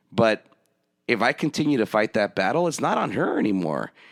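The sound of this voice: A man's fairly low voice with lively intonation at a moderate pace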